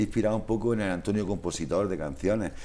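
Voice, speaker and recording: A dark, mellow tone at a fairly quick pace, with ordinary pitch variation. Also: man. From Spain. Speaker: social worker, musician and author. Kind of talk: interview. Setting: studio. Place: studio. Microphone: lapel.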